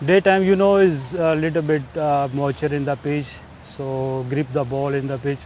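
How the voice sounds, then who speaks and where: Noticeable background noise accompanies a man talking. His pitch is fairly high with ordinary variation, at a moderate speed. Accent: Pakistani. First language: Urdu. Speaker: cricketer. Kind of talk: live commentary guest chat. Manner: halting in English.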